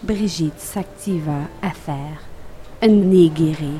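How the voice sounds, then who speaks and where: Woman with a Quebec accent and ordinary pitch variation. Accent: Québécois French. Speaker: improv comedian. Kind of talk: improvised comedy game. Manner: animated.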